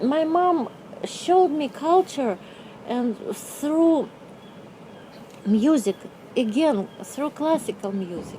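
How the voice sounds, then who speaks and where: A woman with a Russian accent speaks at a very slow pace with long, frequent pauses, her high-pitched voice making very wide pitch swings over noticeable background noise. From Russia (Novosibirsk, Siberia). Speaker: artist. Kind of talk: interview. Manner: halting.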